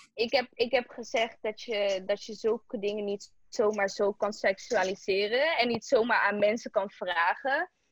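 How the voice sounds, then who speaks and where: A woman with a normal speaking voice talks at a fairly slow pace with hardly any pauses. Her pitch is fairly high, with ordinary variation. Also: dry, close sound with no echo. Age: 20s. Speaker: interviewee. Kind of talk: interview.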